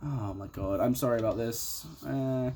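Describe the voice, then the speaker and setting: The man here delivers his words at a fairly slow pace. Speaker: amateur artist vlogger. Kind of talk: casual drawing commentary. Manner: quiet, muttering.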